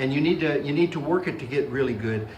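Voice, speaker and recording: Someone talks at a very fast pace, with audible room echo and noticeable background noise. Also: man. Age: 60s. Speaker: comedian. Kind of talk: interview.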